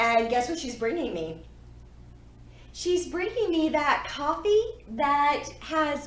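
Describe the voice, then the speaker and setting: Speaking very slowly with an American accent, the voice swings very widely in pitch amid audible room echo and noticeable background noise. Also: woman, big swings in loudness. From Texas. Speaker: podcast co-host, yarn shop owner. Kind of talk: casual chat. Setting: yarn store. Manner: animated.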